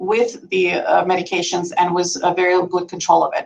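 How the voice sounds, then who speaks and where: Speaking in a non-native accent, a woman keeps her pitch in the medium range. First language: not English. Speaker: nurse practitioner. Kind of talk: medical presentation. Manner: conversational, many fillers.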